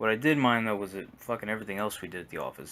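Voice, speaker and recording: A soft-spoken voice with a bright, sharp tone uses ordinary pitch variation. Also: man. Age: 20s. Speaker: gaming YouTuber. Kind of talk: casual rant monologue. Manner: halting, repetitive.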